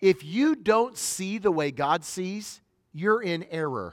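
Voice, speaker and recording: Lively in intonation and animated in tone, a man speaks in a high pitch with an American accent. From northern US. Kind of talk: sermon. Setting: stage with audience.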